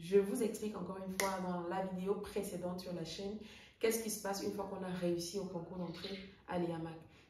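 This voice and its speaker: The speaker talks at a fairly quick pace with fairly even intonation, with noticeable background noise and audible room echo. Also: woman. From Cameroon, Bamenda (anglophone North-West). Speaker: air traffic controller and English coach. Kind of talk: casual vlog monologue.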